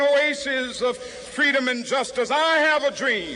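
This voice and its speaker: Noticeable background noise sits behind a man with an extremely high pitch. He uses a raised, projected voice at a fairly slow pace with fairly even intonation. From United States. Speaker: civil rights activist, Baptist minister. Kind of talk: public speech to a large outdoor crowd. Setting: outdoors, public address system. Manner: oratorical, rhythmic, rising intensity.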